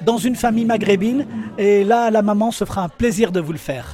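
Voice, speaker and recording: A man with a high pitch speaks at a fairly quick pace amid noticeable background noise. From Algeria (Tlemcen). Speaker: interviewee on food. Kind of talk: interview.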